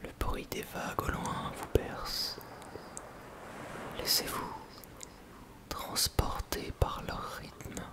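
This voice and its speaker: Someone whispers at a very slow pace with long, frequent pauses. Noticeable background noise is present. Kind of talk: ASMR roleplay, guided imaginary journey. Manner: whispered.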